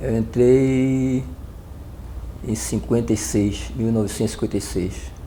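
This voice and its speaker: A man talks at a fairly slow pace with long, frequent pauses. There is audible room echo. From Northeast Brazil, Recife, Pernambuco. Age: 70s. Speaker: retired navy petty officer. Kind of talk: oral history interview. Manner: halting, many fillers and restarts.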